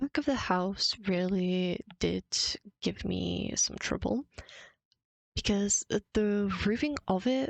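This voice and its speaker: A woman with a non-native accent speaks at a very slow pace, her medium-pitched voice lively in intonation and very even in loudness, broken by long, frequent pauses. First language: not English. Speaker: Minecraft builder and content creator. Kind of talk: voiceover narration of a build timelapse.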